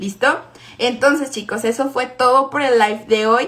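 A woman with a high voice and a Mexican accent speaks in a monotone, flat intonation over noticeable background noise. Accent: Mexican Spanish (Jalisco). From Mexico, Guadalajara. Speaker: network marketing team leader. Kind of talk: motivational live stream talk. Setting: live stream.

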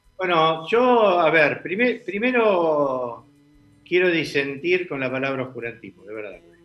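A man with a fairly high pitch talks at a fairly slow pace, his pitch swinging very widely over noticeable background noise. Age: 60s. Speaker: political commentator. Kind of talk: casual political debate.

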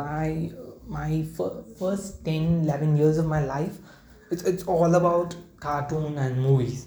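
A man's fairly high voice sounds somewhat breathy, with audible echo from the room. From India, Kerala. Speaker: podcaster. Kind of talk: casual monologue. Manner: halting, many fillers.

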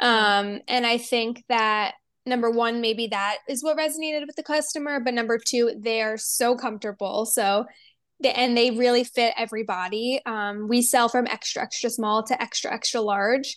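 A woman in an unremarkable speaking voice with an American accent, fairly high pitch, fairly even intonation and moderate pace, over a quiet background. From New Jersey. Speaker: fashion brand founder and designer. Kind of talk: interview.

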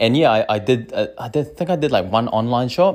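A man's medium-pitched voice with a New Zealand accent and lively intonation, at a moderate pace, in a very clean recording with a silent background. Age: 30s. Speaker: small business owner. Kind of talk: casual monologue. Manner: animated.

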